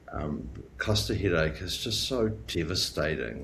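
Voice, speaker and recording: With audible room echo, a man in a New Zealand accent talks in a very deep, low pitch with vocal fry and very wide pitch swings. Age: 40s. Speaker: chronic illness patient sharing story. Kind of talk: interview testimony. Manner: halting, many fillers.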